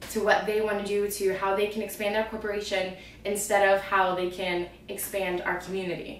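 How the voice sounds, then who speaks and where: A woman talks at medium pitch and a fairly quick pace. Noticeable background noise and audible room echo fill the recording. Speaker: fitness vlogger. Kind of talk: casual vlog monologue. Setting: home, on camera. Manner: animated.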